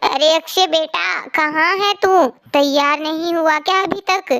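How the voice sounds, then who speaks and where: In a cartoonish character voice, a woman talks at a fairly slow pace with an extremely high pitch. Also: ordinary pitch variation. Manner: bustling, brisk.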